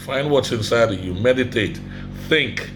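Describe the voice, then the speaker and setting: Someone with an African accent speaks in an animated tone with lively intonation, with audible room echo and noticeable background noise. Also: man. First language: Ogoni. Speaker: vlogger. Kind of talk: motivational vlog. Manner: animated, emphatic.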